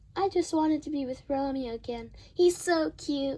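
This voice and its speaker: A put-on character voice, female-sounding and high-pitched, delivered at a moderate pace. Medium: stage play. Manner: light, joking.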